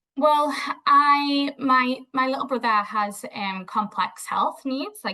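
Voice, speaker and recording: A woman with a Scouse accent talks with ordinary pitch variation. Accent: Scouse (Liverpool English). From Liverpool, northern England. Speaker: behaviour analyst. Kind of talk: interview.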